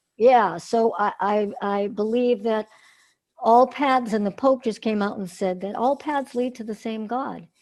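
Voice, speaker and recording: A woman with an American accent has a plain, everyday voice. She speaks at a fairly slow pace in a fairly high pitch with ordinary pitch variation. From northern Massachusetts. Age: 60s. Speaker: singer and cancer survivor. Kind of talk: interview.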